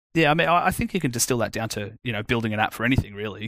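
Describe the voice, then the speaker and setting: On a very clean recording with a silent background, a man with an Australian accent speaks at a very fast pace and a medium pitch. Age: 30s. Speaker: iOS developer. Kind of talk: casual chat.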